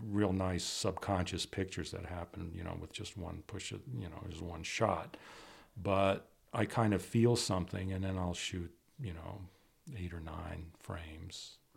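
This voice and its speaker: A man with an American accent and a very deep, low pitch, somewhat breathy, at a moderate pace, with ordinary pitch variation, big swings in loudness, and a very clean recording with a silent background. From Washington D.C. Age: 60s. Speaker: photographer. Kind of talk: interview. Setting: on location.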